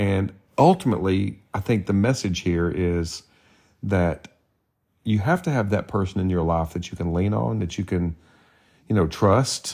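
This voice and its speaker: A man with a Southern US accent and a very deep, low voice speaks at a moderate pace with ordinary pitch variation and long, frequent pauses, on a very clean recording with a silent background. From Tennessee. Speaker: podcast co-host. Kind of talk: casual chat.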